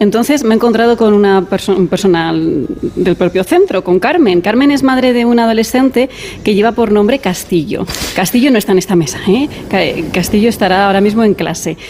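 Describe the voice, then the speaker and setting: At a fairly quick pace, a woman talks with a medium pitch, ordinary pitch variation and very even loudness, against noticeable background noise. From Madrid, Spain. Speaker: radio reporter. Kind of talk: on-location radio report. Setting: school classroom.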